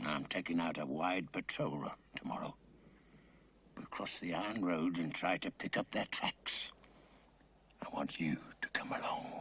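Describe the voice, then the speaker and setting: Whispering in a cartoonish character voice, a man speaks at a moderate pace with long, frequent pauses. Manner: clipped, authoritative, interrogating.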